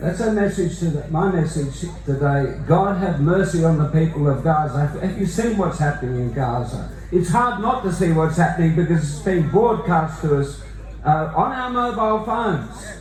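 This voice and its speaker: With an Australian accent, a man speaks at a moderate pace in a fairly high pitch with lively intonation. Noticeable background noise and audible room echo are present. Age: 60s. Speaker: Anglican priest and activist. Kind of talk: rally speech.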